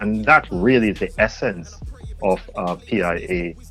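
A man is speaking. Music plays in the background. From southern England. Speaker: guest, poetry event organiser.

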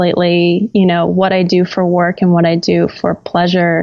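A woman talks at medium pitch in an American accent. Her pace is moderate. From Florida, US South. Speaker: photographer and creative director. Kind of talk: casual interview chat.

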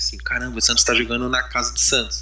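The voice is a man's, moving very fast. The room echo is audible. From São Paulo, East Zone. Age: 20s. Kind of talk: casual chat.

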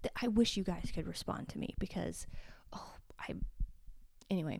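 This woman is whispering. Her pace is moderate. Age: 30s. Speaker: podcast host. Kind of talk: casual monologue. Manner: quiet; animated.

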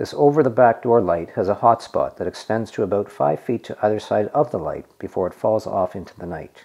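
This man has an unremarkable speaking voice with a fairly low pitch. He talks at a fairly quick pace with lively intonation. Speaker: narrator. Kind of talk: scripted narration.

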